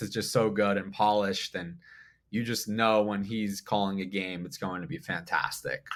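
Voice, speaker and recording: A man with an American accent speaks in an energetic tone at a moderate pace and fairly low pitch. The recording is very clean, with a silent background. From South Florida. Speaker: sports commentator. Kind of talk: casual chat. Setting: studio.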